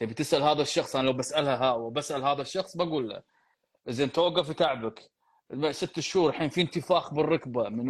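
A man with an ordinary speaking voice, fairly high pitch, ordinary pitch variation and a fairly quick pace, over a quiet background. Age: 40s. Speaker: physiotherapist and podcast host. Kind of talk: live Q&A. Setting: live stream.

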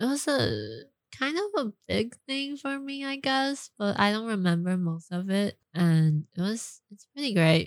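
A woman with a Mandarin accent speaks at a fairly slow pace and medium pitch. Her pitch swings very widely and her loudness rises and falls sharply. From Taiwan, raised partly in California. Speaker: actress. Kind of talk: casual chat. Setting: studio. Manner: giggly, laughs often.

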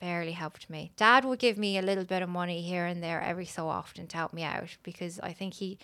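Speaking in an Irish accent, a woman talks at medium pitch and a very fast pace. The recording is very clean with a silent background. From Ireland. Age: 30s. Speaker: podcast guest. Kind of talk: casual chat.

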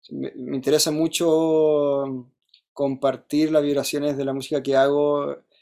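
A man with a Chilean accent talks at a fairly slow pace in a dark, mellow tone, his fairly high pitch held in a monotone, flat intonation. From Chile, Santiago. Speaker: musician. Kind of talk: casual chat. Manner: halting.

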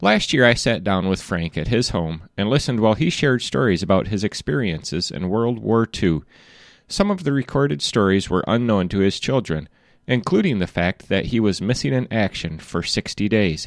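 With a plain, everyday voice, a man talks at a fairly low pitch with lively intonation on a very clean recording with a silent background. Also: moderate pace. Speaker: interviewer and narrator. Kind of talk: scripted narration intro and outro. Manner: formal, clear.

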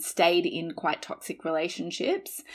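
A woman in an Australian accent. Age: 40s. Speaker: podcast guest. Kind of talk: casual chat. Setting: video call.

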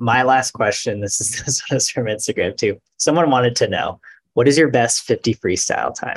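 Recorded with a dry, close sound and no echo, a man with a medium pitch and a somewhat breathy voice speaks at a moderate pace with ordinary pitch variation. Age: 30s. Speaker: podcast host. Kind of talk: casual chat.

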